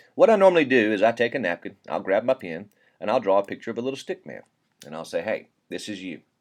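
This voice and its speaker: A man with a Southern US accent talks at a very fast pace. His intonation is lively. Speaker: network marketing presenter. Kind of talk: sales pitch. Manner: casual, folksy.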